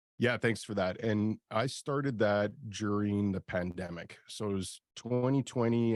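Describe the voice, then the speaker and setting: A man has a normal speaking voice, fairly low in pitch with fairly even intonation. The recording is very clean with a silent background and a dry, close sound with no echo. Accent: Canadian. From Canada. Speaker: industrial real estate broker and YouTuber. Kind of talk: interview. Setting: live video stream.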